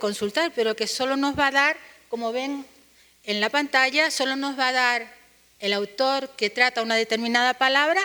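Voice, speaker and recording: In a Canarian accent, a woman speaks at a fairly slow pace with ordinary pitch variation and a bright, sharp tone on a very clean recording with a silent background. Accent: Canarian Spanish, noticeable. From Canary Islands, Spain. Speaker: university linguist, conference panelist. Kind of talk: academic conference presentation. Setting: conference panel with audience.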